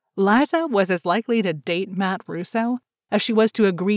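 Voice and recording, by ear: Someone reads aloud in a natural voice with ordinary pitch variation over a quiet background.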